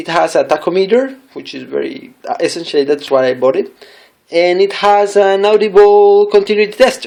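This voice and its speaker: Someone with a non-native accent talks at a moderate pace. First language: not English. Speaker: product reviewer. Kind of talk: tutorial. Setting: home desk. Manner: halting; careful.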